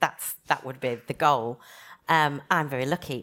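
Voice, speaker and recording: A woman with a Yorkshire accent talks at a fairly quick pace. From Leeds, northern England. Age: 40s. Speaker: physiotherapy lecturer and cancer patient. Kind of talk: panel talk at a conference.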